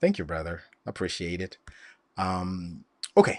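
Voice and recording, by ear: A man's low-pitched voice with a slightly mellow tone, big pitch swings and a fairly slow pace.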